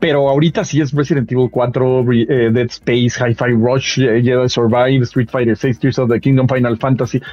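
At a moderate pace and medium pitch, a man talks in a monotone, flat intonation with hardly any pauses and very even loudness. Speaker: video game show host. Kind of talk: casual chat. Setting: remote video call.

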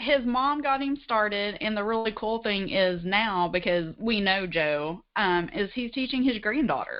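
The speaker moves at a fairly slow pace with lively intonation and hardly any pauses. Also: woman, fairly high pitch for a woman. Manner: enthusiastic.

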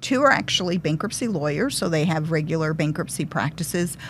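A woman with a fairly low pitch and vocal fry speaks with lively intonation. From Detroit, Michigan. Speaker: bankruptcy lawyer. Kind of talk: casual interview.

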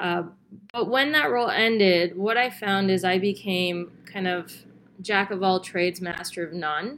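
In an unremarkable speaking voice, a woman talks at a fairly slow pace with a medium pitch and ordinary pitch variation. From Canada. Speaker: business development expert. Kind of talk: interview.

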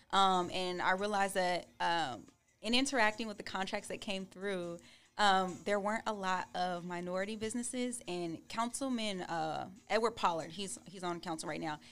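An American-accented woman speaks in an ordinary speaking voice at a moderate pace, with medium pitch and ordinary pitch variation, on a very clean recording with a silent background. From California. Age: 20s. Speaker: attorney. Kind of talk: casual interview.

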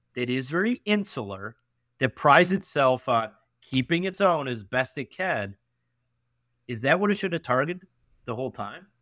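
With a Western New York accent, a man speaks at a moderate pace in a medium pitch, his tone bright and sharp, with very wide pitch swings and long, frequent pauses. The recording is very clean with a silent background and a dry, close sound with no echo. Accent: Western New York (Inland North) American. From upstate New York (Canandaigua, near Rochester). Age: 30s. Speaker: venture capitalist. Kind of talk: casual interview.

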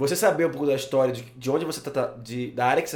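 Audible room echo surrounds a man with a fairly high pitch. He talks at a fairly quick pace with ordinary pitch variation. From Rio de Janeiro, Brazil. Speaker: podcast host. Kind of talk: casual interview chat. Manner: halting, many fillers.

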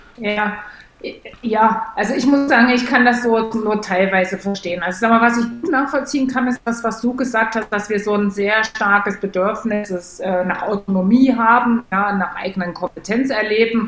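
A woman speaks at a moderate pace in a fairly high pitch, her intonation fairly even, with noticeable background noise behind her. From East Germany. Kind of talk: casual chat.

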